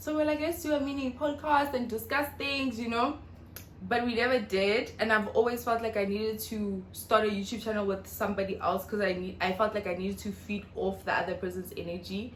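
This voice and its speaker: A woman's fairly high-pitched voice carries audible room echo. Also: ordinary pitch variation, fairly quick pace. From South Africa, North West. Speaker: YouTuber. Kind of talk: casual vlog Q&A. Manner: fast.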